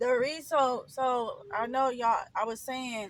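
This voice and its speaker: A woman's high-pitched voice, fairly slow in pace, with ordinary pitch variation. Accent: American. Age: 40s. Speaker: storytime vlogger. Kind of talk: personal storytelling vlog. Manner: hesitant, many fillers.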